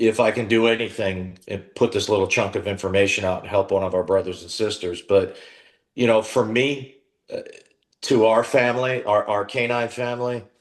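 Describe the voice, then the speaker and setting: A man with an American accent talks at a moderate pace with fairly even intonation. It is an ordinary speaking voice against a quiet background. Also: medium pitch for a man. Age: 50s. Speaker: dog trainer and Marine veteran. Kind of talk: interview.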